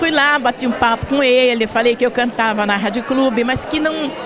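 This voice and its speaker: Amid crowd noise in the background, a woman speaks at a moderate pace in a high voice with ordinary pitch variation. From São Paulo state, Brazil. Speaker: radio presenter. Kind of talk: interview. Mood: warm, smiling. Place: hall. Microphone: handheld.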